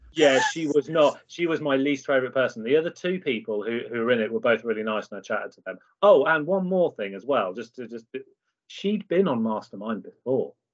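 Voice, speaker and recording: With a British accent, a man talks at a fairly quick pace, with very wide pitch swings and big swings in loudness. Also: medium pitch for a man. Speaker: podcast co-host. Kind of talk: casual chat.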